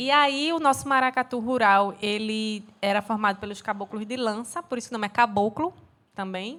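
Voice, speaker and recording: With a Recife accent, a woman speaks at a fairly high pitch in a bright, sharp tone. Her pace is moderate and her pitch variation ordinary, in a very clean recording with a silent background. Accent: Pernambuco (Recife) Brazilian Portuguese. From Pernambuco, Brazil. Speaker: dancer and cultural producer. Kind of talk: casual chat.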